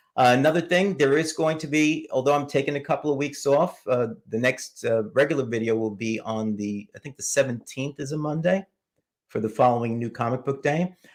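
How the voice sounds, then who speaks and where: Speech at a fairly quick pace with ordinary pitch variation comes through on a very clean recording with a silent background. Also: man. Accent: New York. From New York City. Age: 70s. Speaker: comic book YouTuber. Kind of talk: live stream chat.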